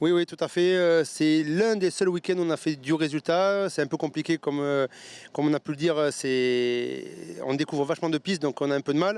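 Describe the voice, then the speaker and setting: This man has an unremarkable speaking voice, fairly high in pitch with ordinary pitch variation, moving at a fairly quick pace against a quiet background with a dry, close sound and no echo. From Bordeaux, France. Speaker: race driver. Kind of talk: interview.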